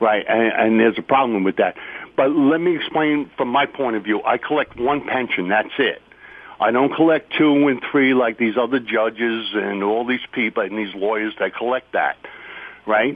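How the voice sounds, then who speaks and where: An unremarkable speaking voice comes from a man of medium pitch who talks at a moderate pace with ordinary pitch variation. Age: 60s. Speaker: retired firefighter. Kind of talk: audience question.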